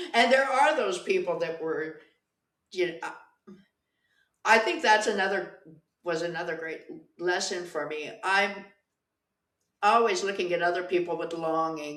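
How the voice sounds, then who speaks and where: Her voice is at a medium pitch with ordinary pitch variation, and this woman's loudness swings widely. She leaves long, frequent pauses, and audible room echo surrounds her. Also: moderate pace. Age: 60s. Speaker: pole dancer. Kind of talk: casual chat.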